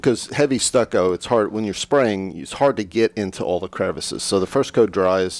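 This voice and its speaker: Using a plain, everyday voice, a man speaks at a moderate pace with hardly any pauses. His pitch is fairly low and varies in an ordinary way. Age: 60s. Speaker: painting contractor. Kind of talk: casual chat.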